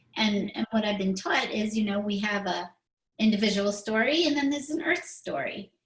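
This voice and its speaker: With lively intonation, a woman in an ordinary speaking voice talks at a moderate pace and a fairly high pitch. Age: 60s. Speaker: spiritual talk show host. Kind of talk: casual chat.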